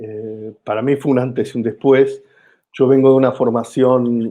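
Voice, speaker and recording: A man with an Argentine accent, medium-pitched, at a fairly slow pace, in a monotone with flat intonation. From Argentina. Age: 50s. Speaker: comedian. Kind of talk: interview.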